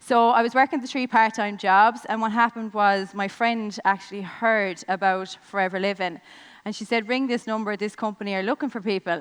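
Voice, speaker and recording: A woman with a Limerick accent, her voice fairly high and her pace fairly quick. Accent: Irish (Limerick). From Ireland, Limerick. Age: 20s. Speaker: network marketing business owner. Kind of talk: motivational speech. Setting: stage with audience.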